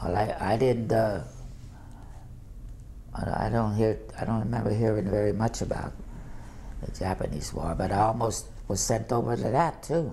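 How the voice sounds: A man talks at a moderate pace with a dark, mellow tone, fairly low pitch and ordinary pitch variation. He leaves long, frequent pauses.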